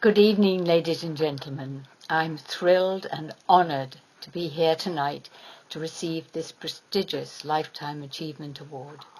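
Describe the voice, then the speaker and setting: Fairly even intonation marks this voice with an American accent. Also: woman. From England. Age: 70s. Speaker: award recipient, former amputee advocacy leader and nurse. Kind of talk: acceptance speech. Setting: award ceremony with audience.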